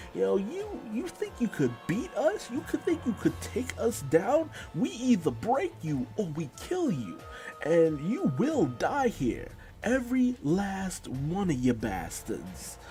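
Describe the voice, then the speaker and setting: A man's put-on character voice, high in pitch and fairly slow, with clear music in the background. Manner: menacing.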